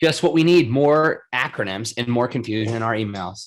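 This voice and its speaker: On a very clean recording with a silent background, a man speaks at a medium pitch in an animated tone with lively intonation. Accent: Rhode Island. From Rhode Island, US. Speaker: podcast host. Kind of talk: casual chat.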